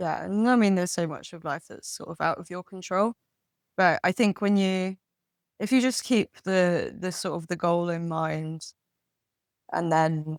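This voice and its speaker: With a slight West Country accent, a woman speaks at a moderate pace in a fairly low pitch with ordinary pitch variation, the sound dry and close with no echo on a very clean recording against a silent background. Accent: English accent, slight West Country twang. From London, England. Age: 30s. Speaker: podcast guest. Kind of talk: casual chat. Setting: pub.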